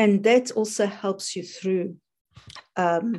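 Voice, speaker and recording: A woman speaks with a South African accent. Her tone is dark and mellow. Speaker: life coach. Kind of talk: casual interview.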